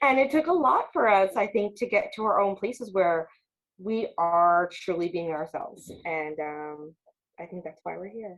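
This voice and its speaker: A woman in a plain, everyday voice speaks at a moderate pace with a medium pitch and lively intonation. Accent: American. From Long Island, New York. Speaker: podcast co-host. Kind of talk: casual chat.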